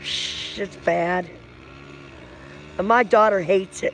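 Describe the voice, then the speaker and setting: A woman speaks loudly over noticeable background noise. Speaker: livestream vlogger. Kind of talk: casual chat.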